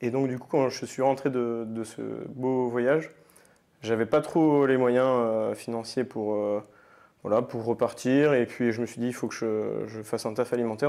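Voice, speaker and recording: In a very clean recording with a silent background, a man speaks in a dark, mellow tone at medium pitch. His pace is fairly slow and his intonation fairly even. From France, Nantes. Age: 20s. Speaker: paralympic athlete. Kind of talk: podcast interview. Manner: hesitant, many fillers.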